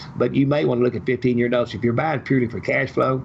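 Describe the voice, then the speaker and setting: Noticeable background noise fills the recording. Over it, a man talks with fairly even intonation. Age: 70s. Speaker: real estate investor. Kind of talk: podcast interview. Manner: talks at length.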